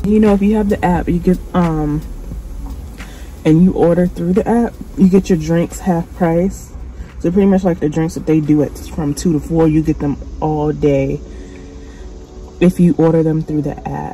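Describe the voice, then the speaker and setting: The speaker is soft-spoken and keeps a moderate pace, with long, frequent pauses. Noticeable background noise runs underneath. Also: woman. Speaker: vlogger. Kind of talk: casual vlog monologue. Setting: in a car.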